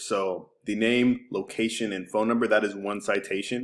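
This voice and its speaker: On a very clean recording with a silent background, a man speaks at a fairly low pitch with monotone, flat intonation. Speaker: digital marketing agency owner. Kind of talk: screencast website review tutorial. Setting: screen recording. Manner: casual, many filler words; fast.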